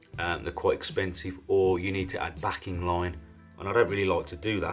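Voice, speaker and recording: Over faint music in the background, a man speaks in a very deep, low voice. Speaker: fishing tackle reviewer. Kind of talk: product review commentary. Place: home room.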